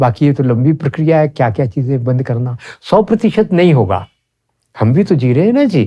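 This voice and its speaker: A man's fairly high, somewhat breathy voice at a moderate pace, with very wide pitch swings and very even loudness. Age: 70s. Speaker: ayurvedic practitioner. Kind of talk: interview.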